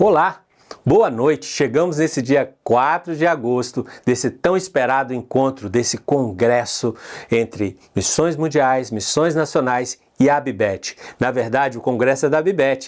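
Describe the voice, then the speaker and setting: Speaking fairly slowly in a Minas Gerais accent, a man keeps a medium pitch with ordinary pitch variation. His loudness is very even. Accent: Minas Gerais (mineiro). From Brazil, Minas Gerais. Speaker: conference host. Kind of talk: conference opening address.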